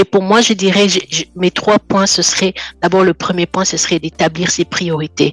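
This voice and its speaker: In a dry, close sound with no echo, a woman with an unremarkable speaking voice talks at medium pitch with fairly even intonation. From French-speaking country. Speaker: guest sharing life testimony. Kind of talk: personal testimony in interview.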